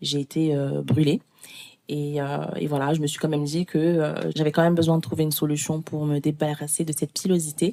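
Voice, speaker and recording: Her voice very deep and low, a woman talks at a fairly quick pace in a dark, mellow tone with flat, monotone intonation. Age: 20s. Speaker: podcast guest sharing personal experience. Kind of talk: testimony.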